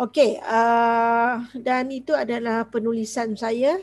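The background is quiet. A woman speaks with fairly even intonation. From Malaysia. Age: 40s. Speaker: school teacher. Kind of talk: online class. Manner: code-switching Malay and English. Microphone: headset.

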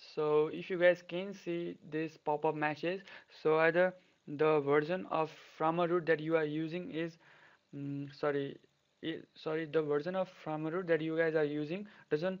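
A man with a non-native accent, fairly high-pitched, in a monotone, flat intonation. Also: moderate pace. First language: not English. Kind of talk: tech tutorial voiceover. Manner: casual.

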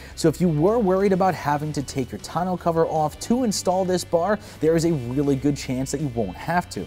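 A man talks at a fairly quick pace with hardly any pauses while faint music plays in the background. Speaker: product reviewer. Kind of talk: product review presentation. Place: garage.

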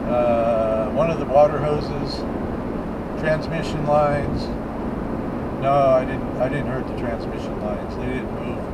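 Fairly slow speech from a man over loud background noise. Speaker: driver vlogger. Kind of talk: casual vlog chat. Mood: relaxed storytelling. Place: car. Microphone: camera far.

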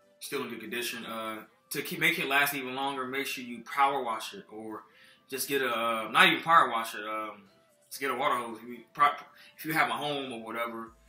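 Faint music plays in the background while a man talks at a fairly quick pace with ordinary pitch variation. His loudness swings widely, and there is audible room echo. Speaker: car care vlogger. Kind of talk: casual tutorial. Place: kitchen. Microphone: phone near.

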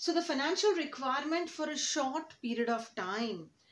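A woman's voice carries audible room echo. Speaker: teacher. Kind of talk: lecture. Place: classroom. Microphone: phone near.

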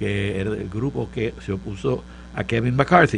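Light background noise sits behind a man talking at a fairly slow pace. His fairly low voice carries vocal fry. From Puerto Rico, Santurce; Puerto Rico. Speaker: professor and political panelist; professor, panelist. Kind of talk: political panel discussion. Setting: studio. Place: studio. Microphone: studio mic.

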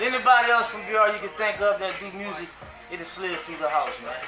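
With clear music playing behind him, a man projects a raised voice at a very fast pace and ordinary pitch variation. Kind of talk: interview answer. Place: shop.

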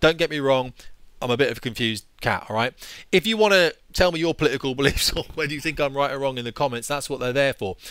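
A man with a British accent speaks at a very fast pace with ordinary pitch variation. The sound is dry with no echo over a quiet background. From England. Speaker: former fighter pilot, YouTuber. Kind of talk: angry rant. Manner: exasperated, sweary; sarcastic, forceful. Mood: annoyed, opinionated. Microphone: headset.

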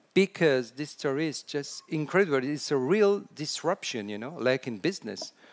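With a French accent, a man talks at a moderate pace with hardly any pauses, a fairly high pitch and big swings in loudness. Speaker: storytelling consultant. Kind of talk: conference talk. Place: hall.

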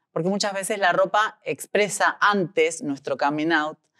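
A woman's plain, everyday voice at a fairly slow pace, with ordinary pitch variation and a dry, close sound with no echo. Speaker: interviewer. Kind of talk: interview.

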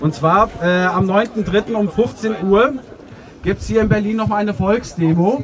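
Music plays in the background as a man talks at a very slow pace. His pitch is high. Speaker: demonstrator and speaker. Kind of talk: open mic speech. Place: street.

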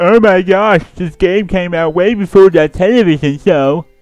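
A man's high-pitched put-on character voice at a moderate pace, with faint music in the background. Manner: dumb, whiny.

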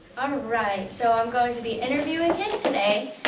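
Fairly high-pitched woman's voice with audible room echo

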